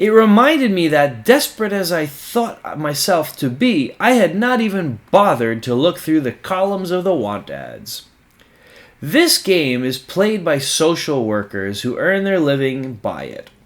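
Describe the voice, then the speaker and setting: At a fairly slow pace, a man speaks in a high voice that swings very widely in pitch. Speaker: audiobook narrator. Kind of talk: nonfiction book reading.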